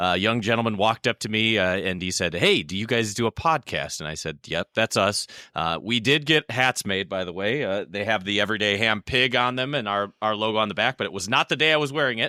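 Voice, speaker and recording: A bright, sharp tone moves at a fairly quick pace with hardly any pauses and ordinary pitch variation, in a dry, close sound with no echo. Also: man, fairly low pitch for a man, very clean recording, silent background. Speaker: ham radio podcast co-host. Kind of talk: casual chat. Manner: loud.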